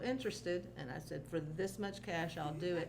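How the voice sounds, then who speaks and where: Noticeable background noise and audible room echo run through the clip. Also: woman. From rural area, grew up on a farm. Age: 60s. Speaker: retired teacher. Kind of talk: casual chat.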